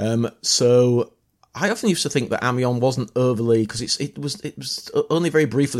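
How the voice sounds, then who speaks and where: A man speaks in a Yorkshire accent at a moderate pace. His pitch varies in an ordinary way. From northern England, near York. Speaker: battlefield historian and tour guide. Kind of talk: casual chat. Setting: outdoors. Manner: halting.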